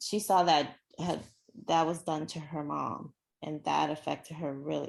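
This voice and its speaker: Using vocal fry, a woman with an American accent speaks at a very deep, low pitch with fairly even intonation. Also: fairly slow pace, quiet background. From Nigeria, then US. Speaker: actress. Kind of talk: interview. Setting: podcast.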